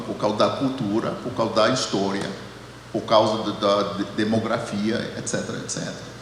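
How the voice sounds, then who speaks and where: Audible room echo and noticeable background noise come through as a man speaks. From United States. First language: English (speaking Portuguese). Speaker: theology professor. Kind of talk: panel discussion. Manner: halting, many repetitions.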